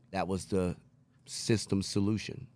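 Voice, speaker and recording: This man has a plain, everyday voice, pitched fairly low. He speaks at a fairly slow pace with fairly even intonation. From New York City (Queens), moved to Texas at age 12. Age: 40s. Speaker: recovering addict sharing story. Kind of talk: testimony.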